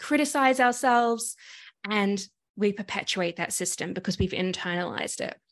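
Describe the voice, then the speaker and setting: Against a quiet background, a woman with an Australian accent speaks at a moderate pace. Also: medium pitch for a woman, ordinary pitch variation. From Sydney, Australia. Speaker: activist and coach. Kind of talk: casual interview conversation. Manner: animated.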